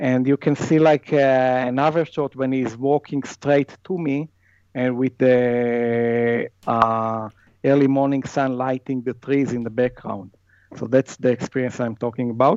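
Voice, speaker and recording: With an Israeli accent, a man talks at a fairly slow pace, his medium pitch carried by fairly even intonation. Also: dry, close sound with no echo. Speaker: wildlife photographer. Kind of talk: casual interview chat. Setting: video call across time zones.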